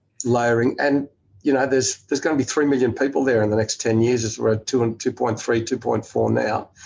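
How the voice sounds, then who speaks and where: A man's medium-pitched voice with an Australian accent, fairly quick and flat, monotone in intonation. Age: 60s. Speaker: investor and business executive. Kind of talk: interview conversation. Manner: halting, many fillers.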